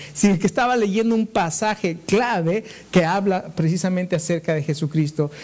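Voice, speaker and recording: With ordinary pitch variation, the man's voice stays at a high pitch. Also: moderate pace. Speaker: pastor. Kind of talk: sermon.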